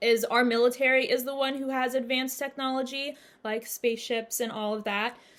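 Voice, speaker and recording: In an unremarkable speaking voice, a woman talks at a fairly high pitch with fairly even intonation. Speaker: spiritual channel host. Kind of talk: monologue Q&A video. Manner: casual, filler-heavy.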